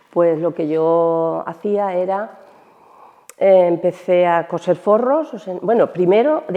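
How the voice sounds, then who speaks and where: Speaking at a very slow pace, a woman uses lively intonation with a fairly low pitch. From Almansa, Albacete, Spain. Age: 60s. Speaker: retired shoe factory worker. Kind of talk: interview testimony. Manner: hesitant, with fillers.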